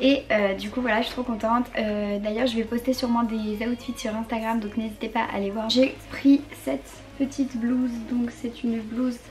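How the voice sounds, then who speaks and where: Over music in the background, a woman with a fairly high pitch talks at a fairly quick pace with fairly even intonation. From northern France. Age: young. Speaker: fashion youtuber. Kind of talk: try-on haul.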